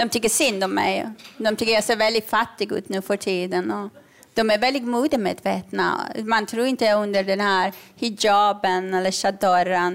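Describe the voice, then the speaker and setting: This woman has a plain, everyday voice at medium pitch and a moderate pace. Her loudness stays very even and her intonation fairly even. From Iran. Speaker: comedian and author. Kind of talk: live comedy podcast chat. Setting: stage with audience.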